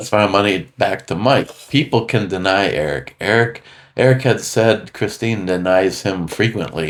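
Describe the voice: Here is plain reading aloud.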